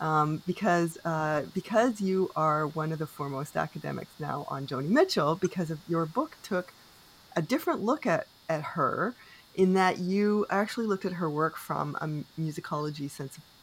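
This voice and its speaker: With a Canadian accent, a woman uses an ordinary speaking voice at a moderate pace with ordinary pitch variation. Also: fairly low pitch for a woman. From Canada. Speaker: podcast host. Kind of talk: interview.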